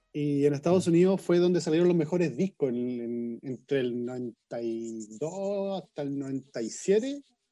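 Against a quiet background, a man with a Chilean accent talks at a very slow pace with hardly any pauses, his fairly high voice dark and mellow in tone and lively in intonation. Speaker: podcast guest, rap fan. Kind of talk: casual chat.

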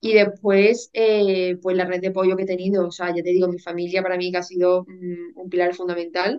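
A woman at medium pitch, monotone and flat in intonation, at a moderate pace. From Spain, Seville. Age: 20s. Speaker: university student sharing eating disorder recovery. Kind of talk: testimony.

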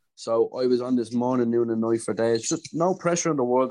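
At a fairly quick pace, a man with a Dublin accent speaks at a medium pitch. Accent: Dublin Irish. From Dublin, Ireland. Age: 20s. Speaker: DJ and music producer. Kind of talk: casual interview. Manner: hesitant, many fillers and repetitions.

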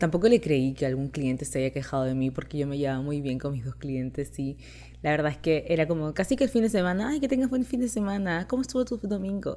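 A woman talks at a fairly quick pace in a Chilean accent. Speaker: content creator. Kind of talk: casual monologue.

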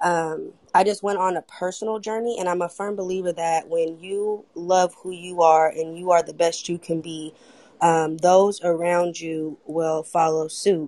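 A woman with an American accent speaks at a fairly slow pace in a fairly low pitch, her tone dark and mellow and her intonation monotone and flat. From Oakland, California. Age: 20s. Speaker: audience participant, mother. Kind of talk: casual chat.

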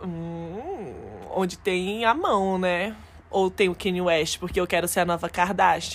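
Speaking at a very slow pace, a woman of medium pitch keeps her intonation fairly even. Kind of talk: stand-up comedy, improvised jokes with no script.

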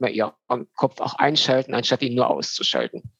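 Speaking at a fairly quick pace, a man with medium pitch talks in a monotone, flat intonation, the sound dry and close with no echo. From Germany, North Rhine-Westphalia (Düsseldorf). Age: 30s. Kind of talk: podcast interview.

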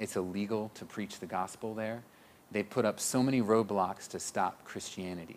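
Speaking in a normal speaking voice with an American accent, a man keeps a moderate pace. His pitch is fairly low and his intonation fairly even. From Missouri, Springfield. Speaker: missionary pastor. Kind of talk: interview.

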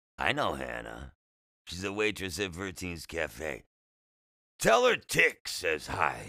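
In a raspy, put-on character voice, a man speaks slowly at a low pitch with vocal fry and very wide pitch swings. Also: bright, sharp tone, very clean recording, silent background.

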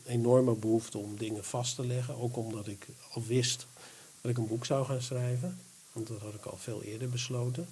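The speaker does plain reading aloud with fairly even intonation.

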